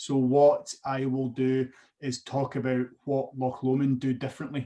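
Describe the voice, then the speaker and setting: Speaking with a Scottish accent, a man moves at a fairly slow pace in a dark, mellow tone with monotone, flat intonation. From Scotland. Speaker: whisky brand ambassador. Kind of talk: guided online tasting presentation. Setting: video call.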